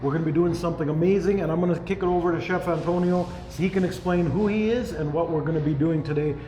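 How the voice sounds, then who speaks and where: A man with a Canadian accent talks at a fairly quick pace in a fairly high pitch, his pitch varying in an ordinary way, with audible room echo and music playing in the background. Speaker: YouTube channel host. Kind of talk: cooking show chat. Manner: loud; animated.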